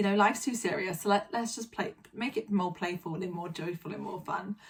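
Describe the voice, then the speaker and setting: A woman talks at a moderate pace. Noticeable noise sits in the background. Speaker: vlogger. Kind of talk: casual vlog monologue. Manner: hesitant, many fillers.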